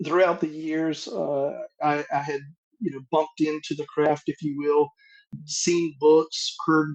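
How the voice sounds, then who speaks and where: A man's fairly high voice in a North Carolina accent, dry and close with no echo. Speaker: masonic grand master. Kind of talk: interview.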